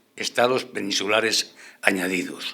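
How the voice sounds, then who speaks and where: A man talks with a bright, sharp tone. His pitch variation is ordinary. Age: 80s+. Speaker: panelist. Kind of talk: radio panel debate.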